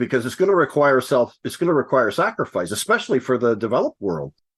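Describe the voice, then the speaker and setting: A man speaks at a medium pitch in an ordinary speaking voice. His intonation is lively. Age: 60s. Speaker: podcast co-host. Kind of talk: casual chat.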